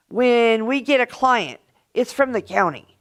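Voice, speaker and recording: At a fairly slow pace, the voice comes through a very clean recording with a silent background. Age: 60s. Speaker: public commenter at county board meeting. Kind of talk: public comment.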